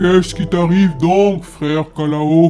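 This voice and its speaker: In a put-on character voice of middle pitch, the speaker goes at a fairly slow pace with faint music in the background. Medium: read story.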